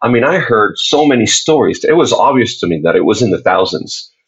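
A man speaks at a fairly quick pace with a Spanish accent. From Puerto Rico. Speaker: faith-based activist and speaker. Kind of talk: casual interview.

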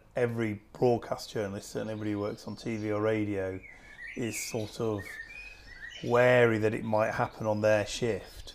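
A man's fairly low, monotone voice with a Lancashire accent, flat intonation and a moderate pace over noticeable background noise. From Lancashire, Preston. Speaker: TV news editor. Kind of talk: interview. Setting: in-person conversation. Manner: halting.

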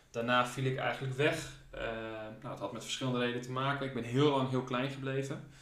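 A man's medium-pitched voice at a very fast pace, monotone and flat, with noticeable background noise and audible room echo. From Friesland, Netherlands (Leeuwarden). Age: 20s. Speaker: professional tennis player. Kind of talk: interview.

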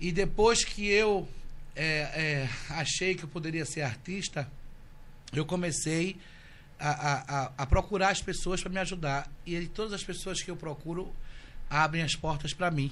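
With long, frequent pauses, a man speaks at a fairly slow pace and high pitch, showing ordinary pitch variation. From Recife, Pernambuco, Brazil. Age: 40s. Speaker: social media influencer. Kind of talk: casual chat. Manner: animated.

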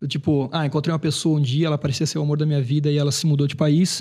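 Over a quiet background, a man talks at a very fast pace. His pitch sits fairly high. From Brazil, Brusque, Santa Catarina. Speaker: singer-songwriter. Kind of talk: casual chat.

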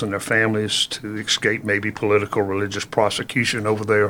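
A man with a Virginia accent talks very fast at a fairly low pitch. His intonation is monotone and flat. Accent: Southern US (Virginia). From Virginia, Halifax County. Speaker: historical tour guide. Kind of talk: casual interview. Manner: frequent fillers (uh).

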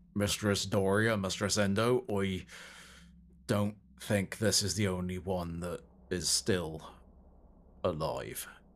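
A man uses a put-on, growling character voice with a fairly low pitch and fairly even intonation. He talks at a fairly slow pace with long, frequent pauses, on a very clean recording with a silent background. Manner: gruff, protective.

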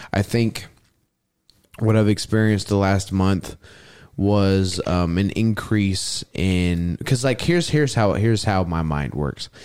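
In an ordinary speaking voice with an American accent, a man talks at a fairly slow pace and fairly low pitch with ordinary pitch variation, on a very clean recording with a silent background. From Houston, Texas. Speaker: roller skater. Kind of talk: casual chat.

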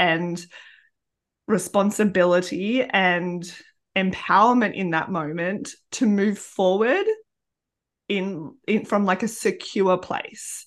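The speaker talks very slowly with an Australian accent and ordinary pitch variation. The background is quiet. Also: woman. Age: 30s. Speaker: podcast host and primary school teacher. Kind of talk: casual chat. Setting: video call.

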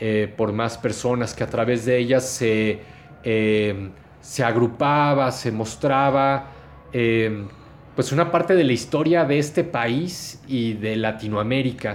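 Speaking very slowly, a man keeps a medium pitch and ordinary pitch variation. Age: 40s. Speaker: podcaster and researcher. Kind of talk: interview. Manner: halting.

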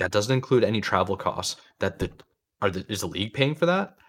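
A man with a plain, everyday voice, medium pitch, lively intonation and a fairly quick pace. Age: 40s. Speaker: gaming podcast host. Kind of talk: casual chat.

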